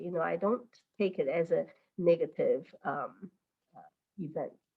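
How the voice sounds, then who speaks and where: A woman talks at a fairly quick pace in a Chinese accent. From mainland China. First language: Mandarin. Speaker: teacher. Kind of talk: interview. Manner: halting, many fillers.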